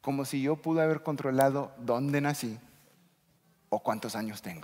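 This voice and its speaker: In a very clean recording with a silent background, a man with an English accent speaks at a fairly high pitch. His pace is moderate and his pitch variation ordinary. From United States. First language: English (speaking Spanish). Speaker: pastor. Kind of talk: sermon. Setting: church.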